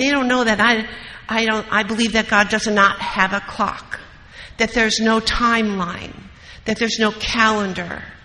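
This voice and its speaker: Over noticeable background noise, a woman with an American accent speaks fairly slowly at a fairly high pitch in a flat, monotone delivery. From US Midwest, Wisconsin. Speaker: recovery meeting speaker. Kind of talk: recovery talk.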